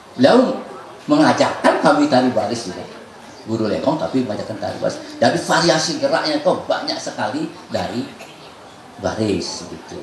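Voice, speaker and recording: A man talks at a fairly quick pace with long, frequent pauses and big swings in loudness, amid audible room echo and noticeable background noise. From Bali, Indonesia. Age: 60s. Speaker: traditional dance master. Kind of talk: workshop lecture.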